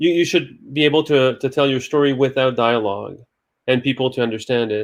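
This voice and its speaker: A man's medium-pitched voice at a fairly quick pace, fairly even intonation, quiet background. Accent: Quebec. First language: French. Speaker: film director. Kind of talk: interview. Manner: halting.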